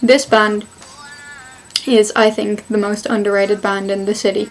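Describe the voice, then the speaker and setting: Noticeable background noise behind a woman with a Dublin accent, fairly high pitch and a fairly slow pace. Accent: Dublin Irish. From Ireland, Dublin. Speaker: video blogger. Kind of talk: casual vlog talk.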